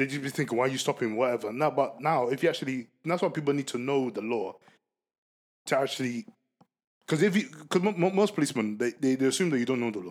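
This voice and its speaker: A man with a Ghanaian accent at a very fast pace, lively in intonation, on a very clean recording with a silent background. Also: medium pitch for a man. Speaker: guest. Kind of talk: casual chat.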